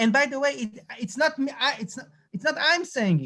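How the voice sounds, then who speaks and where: Speech at a moderate pace with an Israeli accent. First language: Hebrew. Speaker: lecturer. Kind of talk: lecture. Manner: halting.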